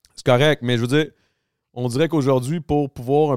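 The speaker has a Quebec accent. The recording is very clean, with a silent background. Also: man, dry, close sound with no echo. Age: 30s. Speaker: podcast host. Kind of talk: casual chat.

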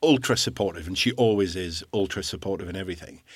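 Someone with a Scottish accent speaks at a fairly quick pace on a very clean recording with a silent background. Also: man. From Scottish island. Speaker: guest sharing recovery from alcohol abuse. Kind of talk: interview about personal story.

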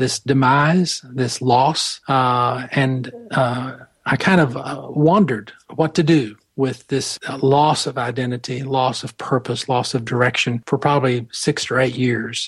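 A somewhat breathy man with an American accent speaks at a fairly slow pace and medium pitch, keeping his intonation fairly even. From US South, Atlanta. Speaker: spiritual director and mentor. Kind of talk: interview. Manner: halting.

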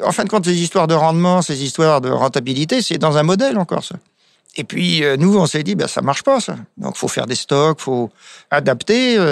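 Here a man talks with a plain, everyday voice at a fairly high pitch. His intonation is lively and his pace moderate. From France, wine village. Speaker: winemaker. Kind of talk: casual interview.

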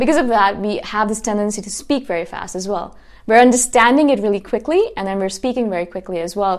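On a very clean recording with a silent background, a woman talks at a very fast pace in a fairly high pitch with ordinary pitch variation. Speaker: self-help podcaster. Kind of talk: solo monologue. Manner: intense.

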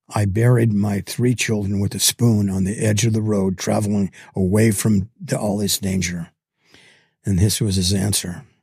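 At a moderate pace, a man with a fairly low, dark, mellow, somewhat breathy voice speaks with fairly even intonation. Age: 80s. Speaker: guest, bereaved father and widower. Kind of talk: interview conversation. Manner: halting.

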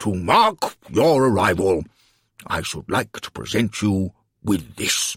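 A man does a booming, put-on character voice, fairly low in pitch with big pitch swings, a slightly husky edge and a fairly bright tone, at a slow pace on a very clean recording with a silent background.

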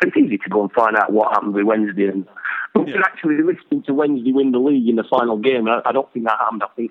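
A man talks with a Yorkshire accent and lively intonation. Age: 50s. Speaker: actor. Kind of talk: casual chat.

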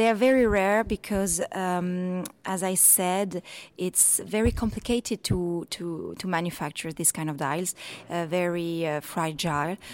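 A woman's medium-pitched, unremarkable speaking voice with ordinary pitch variation, on a very clean recording with a silent background. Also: fairly slow pace. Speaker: watch specialist at auction house. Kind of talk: interview. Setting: in person, hotel in Monaco.

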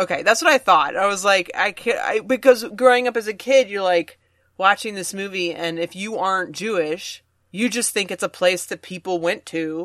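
A woman with a normal speaking voice talks at a moderate pace, her pitch varying in an ordinary way. The sound is dry and close with no echo, over a quiet background. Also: medium pitch for a woman. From Virginia, US South. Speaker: stand-up comedian. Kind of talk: casual chat.

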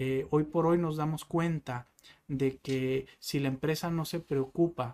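In a plain, everyday voice, a man talks at a fairly slow pace with fairly even intonation, recorded very cleanly against a silent background. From Mexico, northwest (Sonora/Baja California). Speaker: salesman. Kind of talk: interview.

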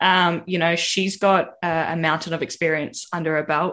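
At a moderate pace, a woman with an Australian accent speaks in a fairly low pitch over a quiet background. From Victoria, Australia. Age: 20s. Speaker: podcast panelist. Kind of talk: casual chat.

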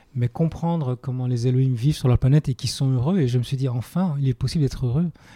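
A man talks at a very fast pace in a dark, mellow, somewhat breathy tone with fairly even intonation. The sound is dry and close with no echo, on a very clean recording with a silent background. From Belgium. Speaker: spiritual movement teacher. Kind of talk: interview conversation. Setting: on location at a summer retreat in Italy.

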